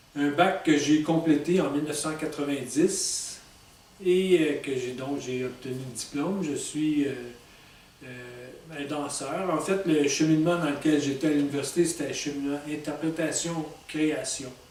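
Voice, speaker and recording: A man with a fairly high voice speaks with fairly even intonation, his words carrying audible room echo over noticeable background noise. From Quebec, Montreal. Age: 60s. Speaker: author. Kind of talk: personal self-presentation monologue. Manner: halting, many fillers.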